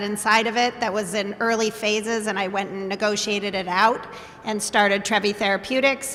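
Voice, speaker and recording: Speaking fairly quickly in a flat monotone, a woman with a fairly high pitch is heard against noticeable background noise. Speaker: biotech company CEO. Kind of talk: panel discussion.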